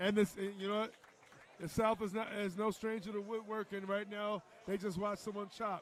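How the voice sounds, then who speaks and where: Speaking at a fairly quick pace, a man has a high pitch. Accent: American. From New York. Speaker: bowling commentator. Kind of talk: live commentary. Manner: animated.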